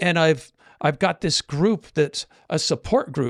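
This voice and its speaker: With lively intonation, a man speaks in a high voice, the sound dry and close with no echo on a very clean recording with a silent background. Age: 60s. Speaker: podcast host, life coach. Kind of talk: casual podcast conversation.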